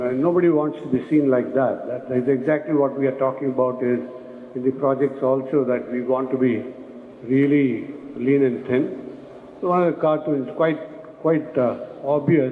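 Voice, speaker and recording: A man at a medium pitch with fairly even intonation, plus noticeable background noise and audible room echo. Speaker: construction management speaker. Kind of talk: conference presentation. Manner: fast.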